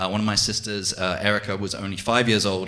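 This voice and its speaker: Over noticeable background noise, a man with an American accent talks at a fairly low pitch. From England. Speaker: amateur stand-up comedian. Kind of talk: stand-up. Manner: hesitant, many fillers.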